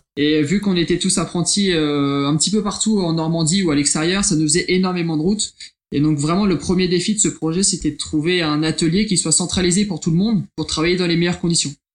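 At a fairly quick pace, a man talks in a high voice. His intonation stays fairly even. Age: 20s. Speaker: engineering apprentice. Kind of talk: interview. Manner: halting.

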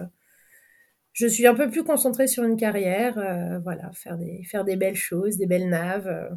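A woman talks at a moderate pace with a medium pitch and ordinary pitch variation. The recording is very clean, with a silent background. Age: 30s. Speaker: sailing boat captain. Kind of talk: interview. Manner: halting.

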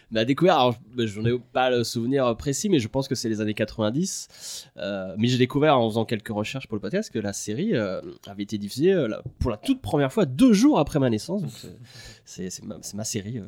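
Here a man has an unremarkable speaking voice, medium in pitch, with lively intonation and a moderate pace. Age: 30s. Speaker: video editor and director. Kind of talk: casual chat.

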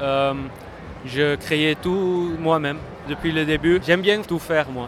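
A man with a Dutch accent speaks at a very slow pace, his pitch fairly high and his intonation fairly even. Noticeable background noise runs behind him. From Netherlands. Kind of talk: interview answers. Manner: halting, hesitant in French.

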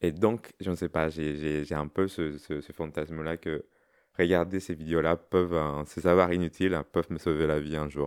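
A man with a very deep, low pitch speaks at a fairly slow pace in a monotone, flat intonation. The sound is dry and close, with no echo. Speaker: interview guest. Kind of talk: casual interview. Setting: at home. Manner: halting, repetitive.

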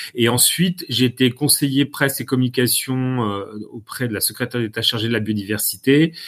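A man with a plain, everyday voice at a medium pitch, a moderate pace and ordinary pitch variation, in a very clean recording with a silent background. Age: 50s. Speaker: communication consultant. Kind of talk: lecture. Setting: live-streamed masterclass.

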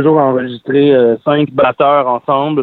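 A man speaks at a fairly slow pace in a fairly high pitch, his intonation monotone and flat. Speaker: singer-songwriter. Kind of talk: interview. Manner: hesitant, many fillers.

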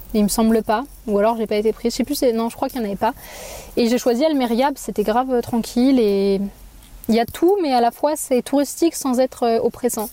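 This woman has a high-pitched voice with ordinary pitch variation. She talks at a fairly quick pace. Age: 20s. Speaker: Spanish teacher. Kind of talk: casual chat.

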